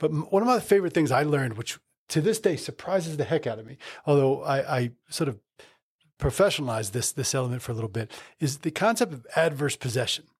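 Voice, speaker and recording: Over a very clean recording with a silent background, a man with an American accent and a fairly high pitch speaks at a very fast pace, his intonation lively and his voice somewhat breathy. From New Jersey. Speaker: lawyer and law firm founder. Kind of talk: casual interview chat.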